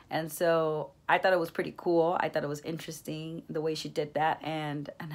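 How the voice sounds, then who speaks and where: Woman with a Spanish accent, very deep and low in pitch, monotone and flat, at a moderate pace, on a very clean recording with a silent background. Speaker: education student. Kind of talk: class reflection monologue. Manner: hesitant, many fillers.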